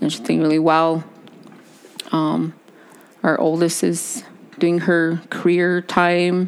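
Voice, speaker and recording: A woman's fairly low voice at a very slow pace, with fairly even intonation, long, frequent pauses and noticeable background noise. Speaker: podcast co-host. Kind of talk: casual chat. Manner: chatty, talkative.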